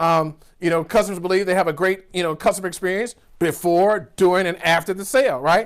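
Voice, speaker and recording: A man talks very fast in an American accent. His pitch is high and his tone animated. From US South, rural Georgia. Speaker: business coach. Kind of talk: virtual keynote speech. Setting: virtual summit recording.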